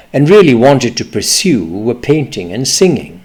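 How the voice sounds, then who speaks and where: A man talks at a moderate pace with a medium pitch. His voice swings very widely in pitch and has vocal fry. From East Pakistan (now Bangladesh). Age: 70s. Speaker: memoir storyteller. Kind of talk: personal memoir reading.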